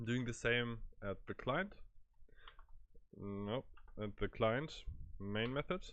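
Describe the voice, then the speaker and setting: A man with a German accent at a very slow pace, with long, frequent pauses. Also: medium pitch for a man, ordinary pitch variation. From Germany. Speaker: programming tutor. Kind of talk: tutorial. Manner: halting, many fillers.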